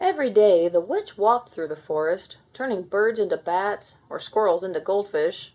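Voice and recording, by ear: A natural-sounding voice reads the words aloud.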